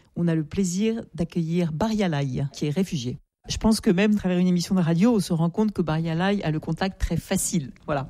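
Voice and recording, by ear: A dark, mellow tone at a fairly quick pace, with ordinary pitch variation. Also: woman, fairly low pitch for a woman.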